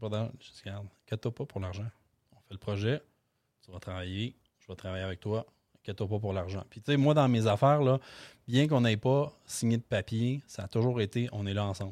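Ordinary pitch movement, a fairly quick pace broken by long, frequent pauses, big swings in loudness, and dry, close sound with no echo on a very clean recording with a silent background. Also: man, fairly low pitch for a man. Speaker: real estate investor. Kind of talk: interview. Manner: halting, many fillers.

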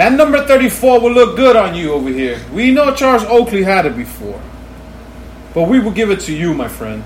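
A man speaks in a high pitch at a moderate pace, with very wide pitch swings. Room echo is audible, along with noticeable background noise. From New York City. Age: 40s. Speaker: podcast co-host. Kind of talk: casual chat.

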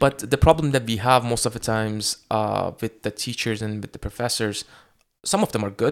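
A man with an unremarkable speaking voice talks at a moderate pace and medium pitch with fairly even intonation. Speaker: podcast host and medical student. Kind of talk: casual interview.

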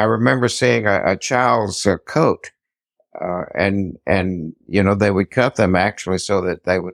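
A man speaks at a moderate pace with a very deep, low pitch and lively intonation. The recording is very clean, dry and close with no echo, and the background is silent. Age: 90s. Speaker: quilter and quilting teacher.

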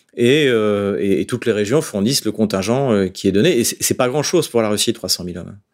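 At a very fast pace, a man speaks with ordinary pitch variation in a very clean recording with a silent background. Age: 50s. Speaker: political analyst. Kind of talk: interview. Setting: studio.

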